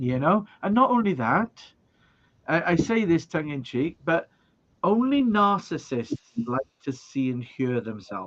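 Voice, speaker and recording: Speaking in a Welsh accent, a man talks at a fairly slow pace. His fairly high pitch moves in very wide swings. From Wales. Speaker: video production trainer. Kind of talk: casual interview.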